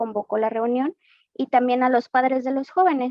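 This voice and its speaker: In a Mexican accent, a woman speaks with a high voice. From Mexico, Guadalajara, Jalisco. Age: 20s. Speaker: church member giving testimony. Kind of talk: testimony. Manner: hesitant, with frequent fillers.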